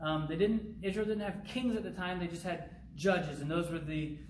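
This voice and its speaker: Audible room echo and noticeable background noise surround the recording. A man speaks at a high pitch with ordinary pitch variation. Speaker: youth pastor. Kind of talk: recorded bible teaching. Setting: pre-recorded video, not live. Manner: fast.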